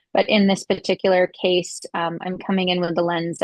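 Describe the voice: The woman's voice sits fairly low and moves little in pitch. The sound is dry and close, with no echo.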